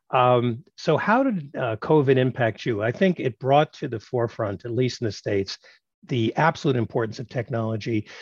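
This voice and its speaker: Somewhat breathy and medium in pitch, a man with a New York accent speaks at a moderate pace with ordinary pitch variation. The sound is dry and close with no echo, over a quiet background. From Brooklyn, New York. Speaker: podcast host, tech executive and professor. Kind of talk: interview.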